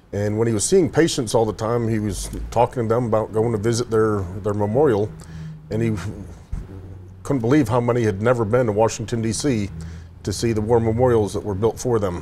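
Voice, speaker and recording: A man with an American accent talks at a fairly quick pace and medium pitch, with fairly even intonation and long, frequent pauses. Noticeable background noise is present. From Buffalo, New York. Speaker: veterans charity volunteer. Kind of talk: interview.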